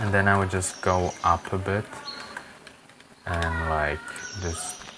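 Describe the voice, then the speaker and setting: Someone speaks at a very slow pace with a non-native accent. Noticeable background noise runs beneath the voice. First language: not English. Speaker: Minecraft builder and tutorial creator. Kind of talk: tutorial. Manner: casual, halting with fillers. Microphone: poor quality mic.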